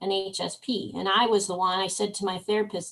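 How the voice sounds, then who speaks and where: A woman's fairly slow, fairly even delivery over a quiet background. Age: 60s. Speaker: workshop participant, former youth worker. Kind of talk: personal sharing in workshop discussion. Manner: halting, many fillers and restarts.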